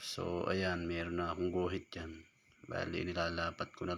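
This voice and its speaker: With a very deep, low pitch and a bright, sharp tone, the man speaks in a monotone, flat intonation. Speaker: welder and DIY tutorial maker. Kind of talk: tutorial. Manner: casual. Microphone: no microphone.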